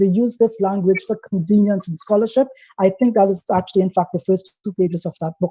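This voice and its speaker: Fairly quick and with fairly even intonation, the voice has a dark, mellow tone and a dry, close sound with no echo. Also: man, high pitch for a man. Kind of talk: heated debate. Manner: fast.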